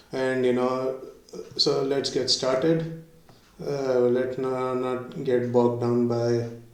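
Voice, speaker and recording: Over noticeable background noise and audible room echo, a man speaks very slowly at a medium pitch with monotone, flat intonation. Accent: Indian. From India. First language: Hindi. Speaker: YouTuber learning a language. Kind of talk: casual vlog. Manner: halting, many fillers.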